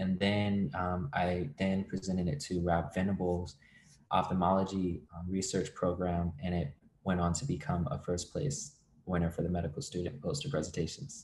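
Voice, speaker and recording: In a very clean recording with a silent background, a man with an American accent talks at a moderate pace in a very deep, low, somewhat breathy voice, keeping very even loudness and ordinary pitch variation. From Virginia. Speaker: medical student. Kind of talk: interview.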